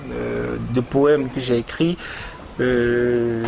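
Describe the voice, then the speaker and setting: A man speaks with a Beninese accent at a medium pitch. His intonation is fairly even, and there is noticeable background noise. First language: Gun (speaking French). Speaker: poet. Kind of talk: interview. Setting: TV studio. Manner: hesitant, many fillers.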